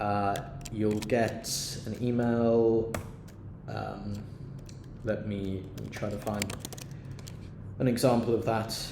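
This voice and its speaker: Over noticeable background noise and audible room echo, the voice moves at a very slow pace with long, frequent pauses and a monotone, flat delivery. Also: man, fairly low pitch for a man. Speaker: university team member explaining expense claims. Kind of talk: screen-recorded tutorial. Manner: halting with many fillers; casual.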